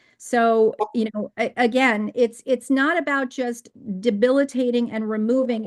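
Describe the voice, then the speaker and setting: Here a woman talks at a fairly slow pace. Behind her the background is quiet. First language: Hungarian. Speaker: real estate agent testifying at hearing. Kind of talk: public hearing testimony. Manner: animated, repeats words.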